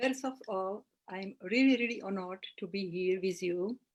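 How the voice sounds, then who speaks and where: A woman with a Slovak accent speaks at a moderate pace. Her pitch is medium, with ordinary variation. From Slovakia. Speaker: holistic therapist and astrologer. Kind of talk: interview. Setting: live video call. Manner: halting.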